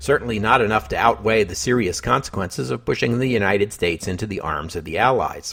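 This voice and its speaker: A man's very fast delivery with hardly any pauses, fairly low in pitch, with vocal fry and lively intonation. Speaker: history podcast host. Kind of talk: scripted narration; podcast sign-off. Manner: measured.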